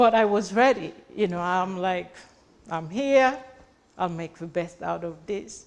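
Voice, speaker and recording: Speaking slowly with long, frequent pauses, a woman with a non-native accent uses a medium pitch with ordinary variation while her loudness swings widely. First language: not English. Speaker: realtor and entrepreneur. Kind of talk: motivational speech.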